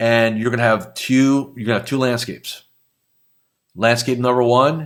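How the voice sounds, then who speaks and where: With fairly even intonation, a man speaks at a moderate pace in a very clean recording with a silent background. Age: 60s. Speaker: business coach for financial advisors. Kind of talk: motivational talk; show outro with promotion. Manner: casual, conversational.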